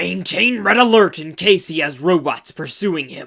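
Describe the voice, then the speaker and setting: A growling, put-on character voice holds a middle pitch. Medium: read story. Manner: measured, authoritative.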